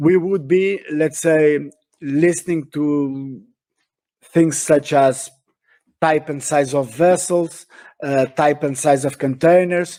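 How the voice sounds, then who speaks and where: A man with a Portuguese accent speaks at a very slow pace with long, frequent pauses. His voice is fairly high in pitch, with a dark, mellow tone and fairly even intonation. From Portugal. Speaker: shipping industry speaker. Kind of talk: webinar talk. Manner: halting, many fillers and repetitions.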